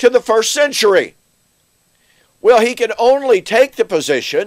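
Here a man speaks with lively intonation. The background is quiet. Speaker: bible teacher. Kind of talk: lecture. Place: office.

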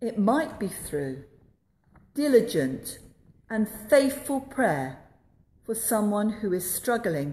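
A woman speaks at a very slow pace with vocal fry and very wide pitch swings. Audible room echo surrounds her voice. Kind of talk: sermon. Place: church. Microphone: phone near.

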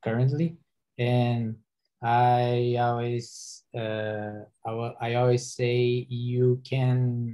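Against a quiet background, a man talks very slowly in a dark, mellow tone at a medium pitch. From Brazil. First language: Portuguese. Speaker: software engineer. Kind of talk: panel discussion. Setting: online video webinar. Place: home room. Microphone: video call.

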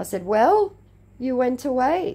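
Speaking with an Australian accent, a woman talks at a very slow pace. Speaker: YouTuber who baits scammers. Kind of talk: casual vlog reading out chat messages. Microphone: relatively poor sound quality.

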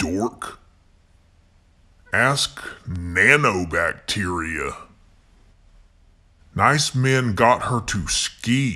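At a very slow pace, a man at medium pitch speaks with vocal fry and a bright, sharp tone, his pitch making very wide swings. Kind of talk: reading anagram puzzles.

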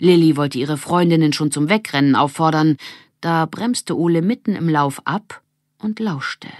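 In a very clean recording with a silent background, a woman with a low voice speaks at a fairly slow pace with ordinary pitch variation.

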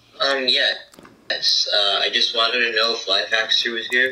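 In a room with audible echo, a man at medium pitch talks at a moderate pace with a bright, sharp tone and fairly even intonation.

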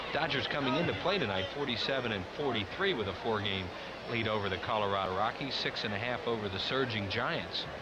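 Against loud background noise, a man sounds upbeat, keeping very even loudness and ordinary pitch variation. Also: moderate pace. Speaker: play-by-play announcer. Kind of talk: live sports commentary, play-by-play; sports commentary. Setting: broadcast booth at a stadium. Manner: brisk, clipped call of each pitch, upbeat broadcast tone.

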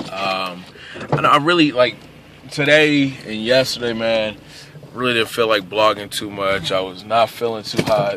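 A man talks at a moderate pace with ordinary pitch variation. The sound is dry with no echo, with noticeable background noise. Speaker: vlogger. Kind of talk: casual vlog chat. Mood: relaxed, a bit under the weather. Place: car. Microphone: phone near.

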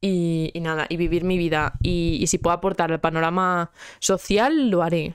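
With a fairly low pitch and an animated tone, a woman talks at a moderate pace in very even loudness, over a quiet background and a dry sound with no echo. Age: 20s. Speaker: podcast host; podcast host or guest. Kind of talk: casual chat; casual podcast conversation. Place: home room. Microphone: handheld.

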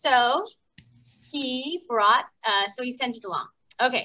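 A woman projects a raised voice with a bright, sharp tone. She keeps a moderate pace. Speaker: story time host. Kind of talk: children's story time hosting. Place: gym.

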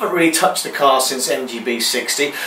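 A man's fast speech with ordinary pitch variation and clear background noise. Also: medium pitch for a man.

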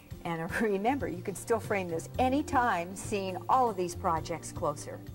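Clear background music behind a woman's voice, her delivery moderately paced. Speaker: craft show host. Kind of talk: tutorial. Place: studio. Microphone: lapel.

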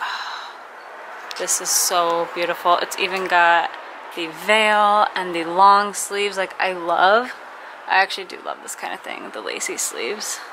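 Noticeable background noise sits under a woman speaking at a fairly slow pace with fairly even intonation. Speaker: vlogger. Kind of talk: casual vlog chat. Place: shop.

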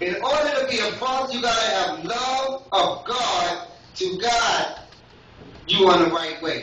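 Raising and projecting his voice with lively intonation, a man speaks amid light background noise and audible room echo. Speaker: lay preacher. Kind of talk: Father's Day church sermon with call-and-response. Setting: church with congregation. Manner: rhythmic, repetitive preacher cadence punctuated by yes and amen; fervent, exhorting crowd to come forward. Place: church. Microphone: camera far.

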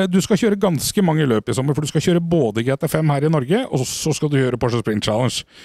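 Lively in intonation, a man speaks at a very fast pace with very even loudness. The sound is dry with no echo, over a quiet background. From Norway. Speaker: motorsport TV host. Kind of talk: studio interview show. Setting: studio. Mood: warm, upbeat, proud.

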